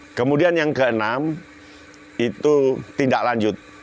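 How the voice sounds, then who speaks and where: Lively intonation over noticeable background noise. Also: man. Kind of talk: spoken political commentary. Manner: explanatory, structured.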